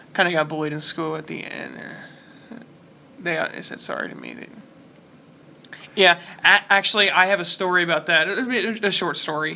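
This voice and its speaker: Talking at a fairly quick pace yet with long, frequent pauses, a man with a fairly high pitch keeps a fairly even intonation over noticeable background noise. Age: 20s. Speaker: YouTube reaction host. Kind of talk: casual chat. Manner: halting.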